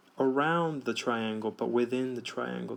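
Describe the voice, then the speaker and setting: An ordinary speaking voice from a man, medium in pitch, with ordinary pitch variation and a fairly slow pace. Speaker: math teacher. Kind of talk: tutorial.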